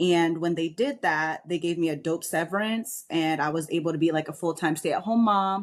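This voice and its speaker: With hardly any pauses, a woman with an American accent speaks at a moderate pace and fairly low pitch, with ordinary pitch variation, in a very clean recording with a silent background. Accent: New York accent, trained down. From New York. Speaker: military veteran and realtor. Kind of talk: podcast interview. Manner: straightforward, bold.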